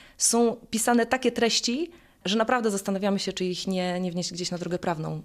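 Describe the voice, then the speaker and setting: In a plain, everyday voice, a woman speaks at a fairly quick pace with fairly even intonation. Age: 30s. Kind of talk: interview.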